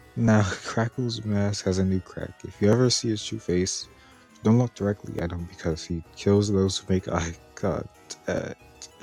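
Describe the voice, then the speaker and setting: Music plays in the background as a man speaks at a fairly slow pace. His fairly low voice keeps fairly even intonation. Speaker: animatronic reviewer. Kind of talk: reading a product description aloud.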